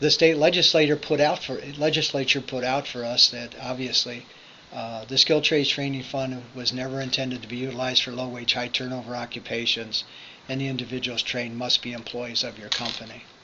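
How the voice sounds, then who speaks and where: A man's medium-pitched voice, fairly quick and monotone with flat intonation, against noticeable background noise. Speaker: workforce agency business services manager. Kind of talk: online information session presentation. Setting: recorded via computer, presenting remotely. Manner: fast.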